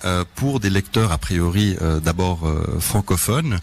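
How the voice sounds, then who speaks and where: A man talks at a fairly slow pace. He speaks with a Swedish accent. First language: Swedish (speaking French). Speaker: crime novelist. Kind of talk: radio interview. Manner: hesitant, many fillers.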